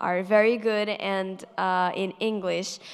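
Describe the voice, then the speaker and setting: A woman with a Portuguese accent speaks at a medium pitch in a flat, monotone way. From Portugal. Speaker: math YouTuber. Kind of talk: panel Q&A. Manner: hesitant, many fillers.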